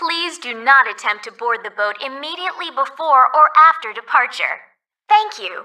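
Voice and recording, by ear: Lively intonation and a bright, sharp tone mark this put-on character voice. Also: woman, high pitch for a woman, moderate pace.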